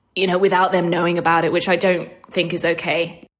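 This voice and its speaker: A woman with an Australian accent. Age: 20s. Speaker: caller. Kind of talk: recorded voicemail question.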